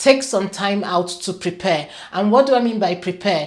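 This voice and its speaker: At a moderate pace, an unremarkable speaking voice carries on. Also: woman. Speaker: career coach and show host. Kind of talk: talking-head advice video.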